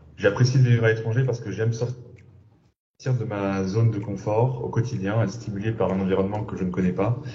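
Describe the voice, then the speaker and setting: A man talks at a fairly quick pace with fairly even intonation. His voice is somewhat breathy, and the room echo is audible. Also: medium pitch for a man. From Senegal. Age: 30s. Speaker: entrepreneur. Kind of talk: testimony. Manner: halting.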